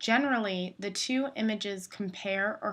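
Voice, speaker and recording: Bright and sharp in tone, a woman speaks very slowly with ordinary pitch variation. The recording is very clean, with a silent background. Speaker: photography teacher. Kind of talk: tutorial.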